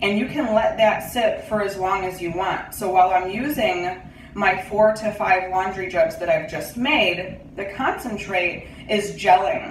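Over light background noise and audible room echo, a woman speaks at a moderate pace. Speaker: home DIY vlogger. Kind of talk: tutorial. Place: home room. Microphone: phone near.

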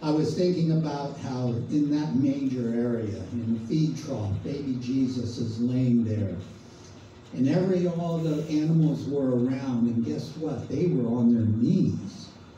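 Audible room echo and light background noise accompany a man speaking at a fairly slow pace with ordinary pitch variation. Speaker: preacher leading a devotional. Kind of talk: sermon. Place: hall.

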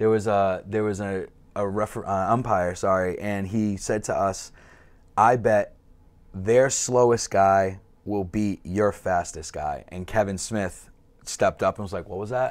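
A man with a Boston accent speaks at a fairly slow pace. His voice is fairly low-pitched, with fairly even intonation. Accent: Boston-area. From Massachusetts North Shore (Peabody); Massachusetts. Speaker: softball player; podcast guest. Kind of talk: casual chat. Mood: relaxed, friendly. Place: studio.

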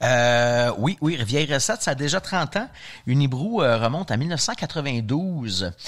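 Very clean with a silent background, the recording has a man talking at a very slow pace with very even loudness, a fairly high pitch and very wide pitch swings. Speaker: brewery representative. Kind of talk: ad segment, brand history.

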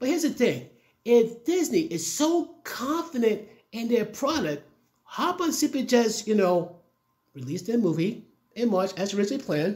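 With very wide pitch swings, a man speaks at a moderate pace in front of a quiet background. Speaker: commentary vlogger. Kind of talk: casual opinion commentary. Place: home room.

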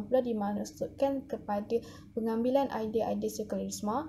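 Light background noise sits behind the speaker. A woman talks at a fairly quick pace. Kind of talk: class presentation. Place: home room. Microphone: phone near.

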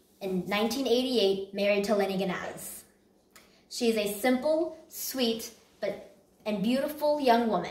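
With audible room echo around her, a woman speaks at a moderate pace. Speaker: presenter. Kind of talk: competition presentation. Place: home room.

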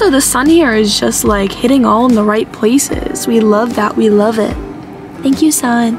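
Fairly high-pitched woman, lively in intonation and fairly slow in pace, with clear music in the background. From Arizona, USA. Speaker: vlogger. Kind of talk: casual vlog talk to camera. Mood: tired, whiny, playful. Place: car. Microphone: phone near.

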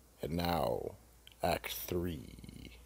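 A man puts on a character voice, low-pitched with vocal fry and a slightly mellow tone. He speaks at a very slow pace with lively intonation.

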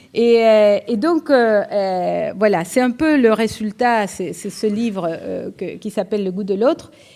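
A dark, mellow tone with a slight Uruguayan accent, very slow yet with hardly any pauses. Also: woman, fairly high pitch for a woman, ordinary pitch variation. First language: Spanish (speaking French). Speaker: economics professor. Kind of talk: lecture. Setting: lecture hall with audience. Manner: hesitant, repeated fillers. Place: hall. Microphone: podium.

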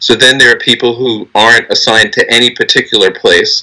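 Over a quiet background, a man talks at a moderate pace. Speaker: union lawyer. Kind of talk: legal argument in a court hearing. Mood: earnest, argumentative. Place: office.

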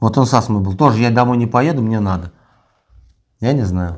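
The intonation is lively and the pace moderate. The background is quiet. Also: man. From Russia. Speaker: prisoner of war; interviewee. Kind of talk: interview. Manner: halting. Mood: calm, matter-of-fact. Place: empty room. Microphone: lapel.

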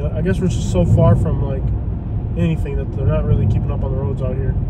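The speaker is a man, and the sound is dry with no echo. Loud background noise runs underneath. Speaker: vlogger. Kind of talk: casual vlog chat. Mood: mildly annoyed at car. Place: car. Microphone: camera far.

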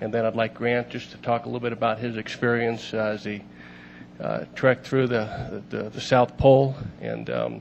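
A man talks at a moderate pace in a monotone, flat intonation. Light background noise sits behind him. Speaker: council official introducing an honoree. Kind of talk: formal meeting remarks. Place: hall. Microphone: podium.

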